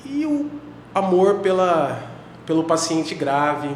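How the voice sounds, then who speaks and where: Noticeable background noise and audible room echo fill the recording. Through them, a man talks. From Brazil, Paraná (Londrina). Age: 30s. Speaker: intensive care doctor. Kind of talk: podcast interview. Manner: hesitant, repeats words.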